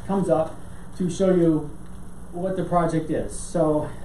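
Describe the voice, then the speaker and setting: Against noticeable background noise, the words come at a fairly slow pace. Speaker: city planning staff presenter. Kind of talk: staff presentation at council meeting. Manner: halting with fillers and repeats.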